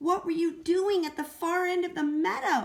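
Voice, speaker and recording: A put-on character voice from a woman, pitched extremely high and delivered at a moderate pace. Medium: read story.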